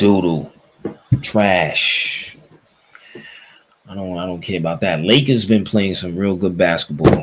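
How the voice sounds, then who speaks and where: A man's very deep, low voice at a fairly slow pace, with long, frequent pauses. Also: ordinary pitch variation, big swings in loudness. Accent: New York. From New York, the Bronx. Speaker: sports podcast host. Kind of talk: casual chat.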